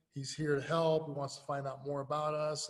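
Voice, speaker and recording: A man with an American accent speaks in a fairly high pitch, his voice somewhat breathy. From US Midwest, inner city of Lincoln. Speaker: youth sports coach and nonprofit founder. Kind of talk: interview. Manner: casual, animated.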